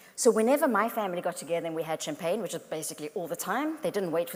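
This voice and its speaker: A woman speaks with a South African accent. Her intonation is lively. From South Africa and France. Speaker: motivational speaker. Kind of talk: keynote talk. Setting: stage with audience.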